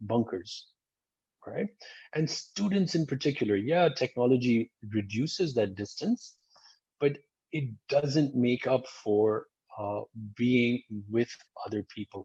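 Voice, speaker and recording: Against a quiet background, a somewhat breathy man with a dark, mellow tone and medium pitch talks at a fairly slow pace with lively intonation and long, frequent pauses. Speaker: school dean. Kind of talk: webinar presentation.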